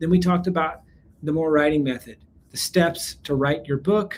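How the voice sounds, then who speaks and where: A man with an American accent talks at a moderate pace in a fairly high pitch, his pitch varying in an ordinary way. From US South, South Carolina. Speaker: business webinar presenter, company CEO. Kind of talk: live webinar sales pitch. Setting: live online training. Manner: energetic, upbeat.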